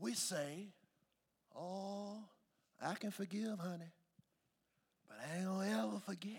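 A high-pitched man at a fairly slow pace, with long, frequent pauses and ordinary pitch variation. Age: 40s. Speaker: pastor. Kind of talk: sermon. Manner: animated.

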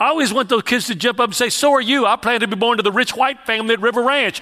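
Over noticeable background noise, a man with a Texas accent talks very fast in a raised, projected voice at an extremely high pitch, with ordinary pitch variation. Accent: Texas Southern US. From Houston, Texas. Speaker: evangelist preacher. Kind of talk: sermon with personal testimony.

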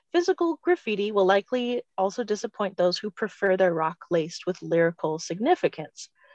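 In a dry, close sound with no echo, a woman with a plain, everyday voice at medium pitch talks at a fairly quick pace. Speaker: podcast co-host. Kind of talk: podcast interview.

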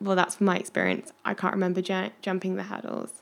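On a very clean recording with a silent background, a woman with an English Midlands accent speaks at a moderate pace. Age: 20s. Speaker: medical student and podcast host. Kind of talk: interview, casual chat. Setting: at home with her dog.

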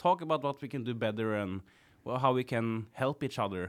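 Against a very clean recording with a silent background, a man with a Norwegian accent speaks at a fairly quick pace. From Norway, Kongsberg. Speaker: clown and sound engineer. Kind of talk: casual chat. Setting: studio.

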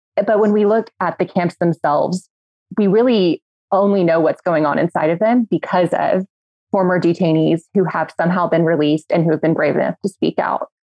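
A woman with an American accent talks at a fairly quick pace in a fairly low pitch, with very even loudness. It's an unremarkable speaking voice with ordinary pitch variation. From Texas (Midland). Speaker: human rights advocacy director. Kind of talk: podcast panel discussion.

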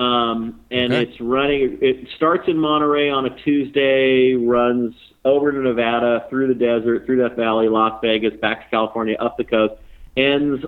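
A man at medium pitch, a plain, everyday voice, moderate pace and fairly even intonation. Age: 50s. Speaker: racing series founder and journalist. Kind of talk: casual interview. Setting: phone call.

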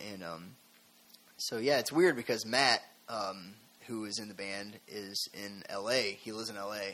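Talking with an American accent, a man keeps a fairly slow pace and fairly low pitch, with fairly even intonation, big swings in loudness and long, frequent pauses. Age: 20s. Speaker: rock band musician. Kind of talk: casual interview. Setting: studio.

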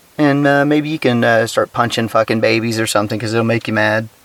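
Recorded with a dry, close sound and no echo, a man with an American accent speaks over noticeable background noise. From Texas. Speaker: podcast host. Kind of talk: casual solo commentary. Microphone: cheap recording gear.

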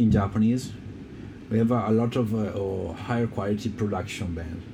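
Audible room echo surrounds a man with a fairly low pitch. He keeps a moderate pace and fairly even intonation. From Italy. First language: Italian. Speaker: keyboardist and sound engineer. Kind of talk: casual interview chat. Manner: halting, many hesitations.

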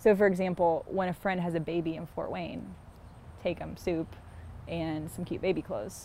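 With an American accent, a woman speaks at a moderate pace in a fairly low pitch and fairly even intonation. It is an unremarkable speaking voice. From US South, Columbia, South Carolina. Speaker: neighbor and mother. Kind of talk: casual conversation. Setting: outdoors, walking in a neighborhood.

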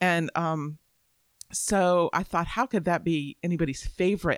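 In an ordinary speaking voice, a woman with an American accent talks at a fairly low pitch with ordinary pitch variation, in a dry, close sound with no echo on a very clean recording with a silent background. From Florida, Tampa Bay area. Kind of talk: casual book discussion.

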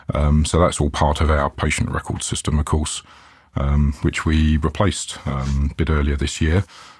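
Speaking at a moderate pace with a British accent, a man has a very deep, low pitch and a somewhat breathy voice. His intonation is monotone and flat, and his loudness stays very even. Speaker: IT manager. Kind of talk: casual interview chat.

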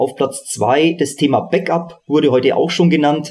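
A man has a normal speaking voice with a fairly high pitch. He talks at a fairly slow pace with ordinary pitch variation. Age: 40s. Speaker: reinsurance risk manager. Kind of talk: panel discussion.

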